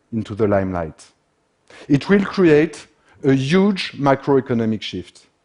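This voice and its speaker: A man talks with a French accent. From France. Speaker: industrial systems expert. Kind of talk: conference talk.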